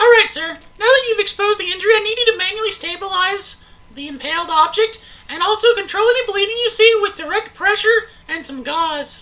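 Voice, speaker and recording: This put-on character voice is squeaky and extremely high-pitched, moving at a fairly quick pace. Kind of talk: instructional video narration. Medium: comedy sketch. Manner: calm, clear, instructive.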